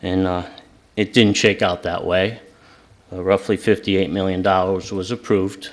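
A man speaks at a very deep, low pitch in a flat monotone. His pace is fairly slow, with long, frequent pauses. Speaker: resident speaking at public comment. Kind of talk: public comment. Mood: critical, argumentative. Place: hall. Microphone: podium.

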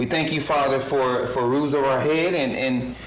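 A man talks at a moderate pace in a monotone, flat intonation. Room echo is audible around him. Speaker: pastor giving invocation. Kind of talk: prayer. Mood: solemn, earnest. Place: hall. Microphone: podium.

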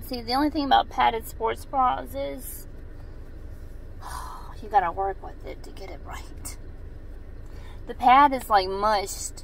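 A woman speaks at a fairly slow pace, with long, frequent pauses and very wide pitch swings. Her loudness swings a lot, and there is light background noise. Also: dry sound with no echo. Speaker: mom fitness vlogger. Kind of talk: casual vlog chat. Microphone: phone near.

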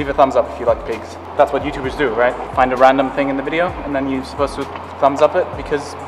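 A man talks at a very fast pace with monotone, flat intonation. Noticeable background noise runs underneath. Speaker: vlogger. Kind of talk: casual vlog chat. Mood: playful, joking. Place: garage. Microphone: phone near.

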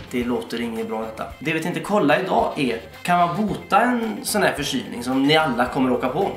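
Rushing along with hardly any pauses, a man with a fairly high voice swings his pitch very widely, with audible room echo and faint music in the background. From Uddevalla, Sweden. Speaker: YouTuber. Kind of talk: casual comedic talk to camera. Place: home room. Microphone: camera far.

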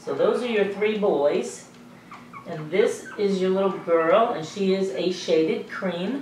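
Audible room echo and light background noise surround a woman who talks at a fairly slow pace with ordinary pitch variation. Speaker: dog breeder. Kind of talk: sales pitch. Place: home room.

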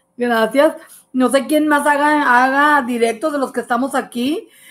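Faint music plays in the background while a woman talks. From Mexico, Nuevo León. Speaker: home cook; home cook livestreamer. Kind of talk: livestream cooking show. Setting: live stream. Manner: chatty. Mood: warm, relaxed, laughing. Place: kitchen. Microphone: phone near.

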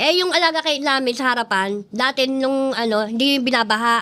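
A woman with a high voice and ordinary pitch variation talks at a moderate pace. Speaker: cemetery resident. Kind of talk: interview testimony. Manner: polite, uses po.

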